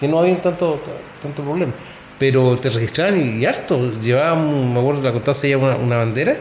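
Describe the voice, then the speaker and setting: A man with a Chilean accent, fairly high pitch and ordinary pitch variation, very fast pace, noticeable background noise. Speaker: sports podcast host. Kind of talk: casual chat.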